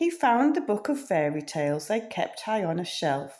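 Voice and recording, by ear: A natural voice carries this read-aloud passage.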